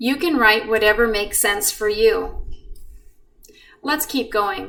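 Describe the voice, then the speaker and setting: A fairly slow, calm-toned woman's voice, fairly high in pitch, with very wide pitch swings. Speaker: math teacher. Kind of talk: tutorial.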